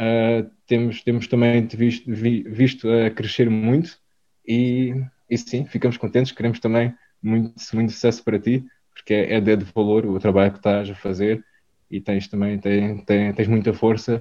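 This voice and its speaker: A man's dark, mellow voice at medium pitch, flat and monotone, at a moderate pace. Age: 20s. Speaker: food business co-founder. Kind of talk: interview. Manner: halting, frequent word repetitions.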